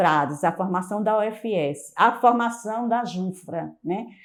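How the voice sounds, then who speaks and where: Speaking very slowly with lively intonation, a woman uses a fairly high pitch on a very clean recording with total background silence. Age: 60s. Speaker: Franciscan lay member recalling a late friend. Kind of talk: personal testimony. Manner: hesitant, with frequent repetitions and fillers.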